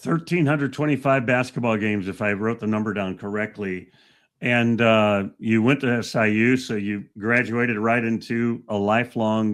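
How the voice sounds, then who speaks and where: Speaking in a plain, everyday voice, a man talks at a moderate pace with medium pitch and fairly even intonation. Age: 60s. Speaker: podcast host. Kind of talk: podcast interview.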